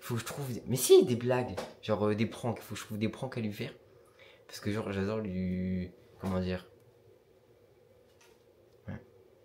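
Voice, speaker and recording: A somewhat breathy man with a fairly low pitch and a dark, mellow tone speaks at a moderate pace. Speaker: vlogger. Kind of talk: vlog.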